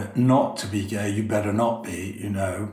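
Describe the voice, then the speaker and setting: Delivered at a moderate pace in a monotone, flat intonation, the voice comes with audible room echo and noticeable background noise. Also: man. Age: 60s. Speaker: drag performer. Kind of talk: interview.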